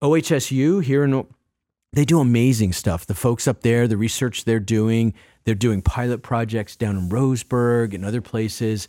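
A man with an American accent speaks at a moderate pace in a dark, mellow tone, on a very clean recording with a silent background. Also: medium pitch for a man, ordinary pitch variation. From Massachusetts. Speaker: addiction recovery advocate. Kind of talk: interview.

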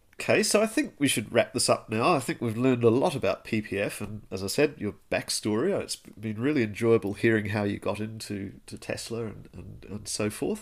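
In a very clean recording with a silent background, a man speaks at a fairly quick pace with hardly any pauses and big swings in loudness. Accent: New Zealand. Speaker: podcast host. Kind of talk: casual interview.

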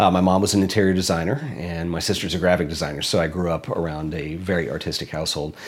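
A man with a very deep, low voice talks at a very fast pace with hardly any pauses and ordinary pitch variation. Audible room echo and noticeable background noise surround him. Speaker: photographer and filmmaker, YouTuber. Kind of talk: interview.

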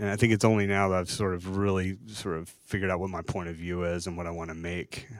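Speaking at a fairly quick pace, a man with an American accent has a very deep, low pitch and monotone, flat intonation. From US South, Chattanooga, Tennessee. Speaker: graphic designer and artist. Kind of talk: live interview on stage. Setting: stage with live audience.

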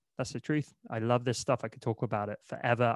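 A man speaks in a normal speaking voice at a fairly quick pace, his intonation fairly even. The recording is very clean with a silent background and a dry, close sound with no echo. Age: 30s. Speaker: entrepreneur and marketer. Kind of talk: interview.

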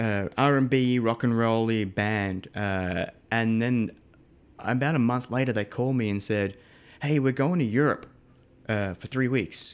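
A man with an Australian accent, medium pitch and ordinary pitch variation, at a fairly slow pace, in a very clean recording with a silent background. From Australia, Melbourne. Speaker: live sound engineer. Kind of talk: casual interview.

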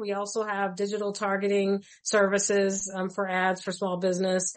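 Her voice is an unremarkable speaking voice, a woman at medium pitch moving at a moderate pace. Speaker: life insurance policyholder sharing her story. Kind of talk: radio interview.

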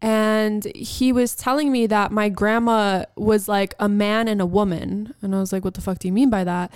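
A woman's plain, everyday voice, fairly high in pitch, with fairly even intonation, a moderate pace and hardly any pauses, on a very clean recording with a silent background. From New York, Albanian-American family. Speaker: podcast co-host. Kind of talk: casual chat.

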